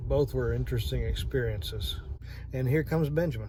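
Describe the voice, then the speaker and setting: A man's fairly quick speech with audible room echo. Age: 50s. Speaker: vlogger. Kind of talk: casual vlog monologue. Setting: in a parked truck at night. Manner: halting, many fillers.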